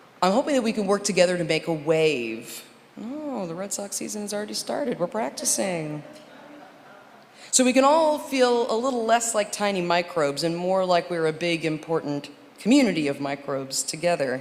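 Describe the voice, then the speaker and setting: A woman with a fairly low voice swings widely in pitch against noticeable background noise. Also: moderate pace. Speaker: minister or worship leader. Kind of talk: church service address. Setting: church sanctuary with congregation. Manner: animated.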